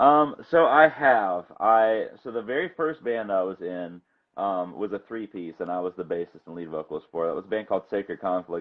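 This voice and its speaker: A man with an ordinary speaking voice talks at a moderate pace with hardly any pauses. His pitch is fairly low, and his loudness swings widely. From Florida, US. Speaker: bass player and singer. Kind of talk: casual interview.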